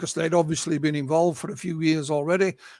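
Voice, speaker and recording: A man with a high-pitched voice speaks with a Yorkshire accent. The very clean recording has a silent background and a dry, close sound with no echo. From Yorkshire, northern England. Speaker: UFO researcher and author. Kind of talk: interview. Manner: halting, repeats words.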